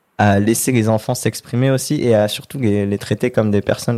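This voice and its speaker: In a very clean recording with a silent background, a man with a fairly low pitch and a dark, mellow tone speaks at a moderate pace with fairly even intonation. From southern France (near Marseille). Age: 20s. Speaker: model. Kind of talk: casual interview.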